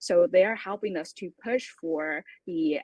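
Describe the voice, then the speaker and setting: A woman speaks at a fairly slow pace in an ordinary speaking voice. Her pitch is fairly low, with lively intonation. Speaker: startup co-founder presenting a crypto project. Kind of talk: pitch presentation with Q&A.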